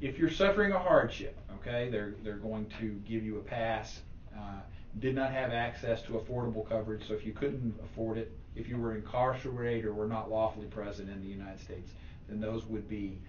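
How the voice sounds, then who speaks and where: A man with a medium pitch and fairly even intonation speaks at a fairly quick pace amid audible room echo. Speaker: tax specialist giving a talk. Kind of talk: presentation to a club. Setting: meeting room, also streamed online. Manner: fast.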